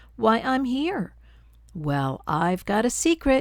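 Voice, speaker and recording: A woman uses a put-on character voice, fairly high in pitch with very wide pitch swings. She speaks at a fairly slow pace. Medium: read story. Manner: bossy, sly.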